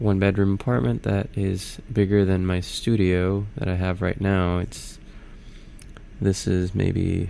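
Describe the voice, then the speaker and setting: At a fairly slow pace, the voice carries audible room echo. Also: man, very deep, low pitch for a man, ordinary pitch variation. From Puerto Rico (Arecibo). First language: Spanish. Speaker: YouTuber. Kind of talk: casual voiceover narration. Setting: home studio apartment. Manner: halting, many fillers.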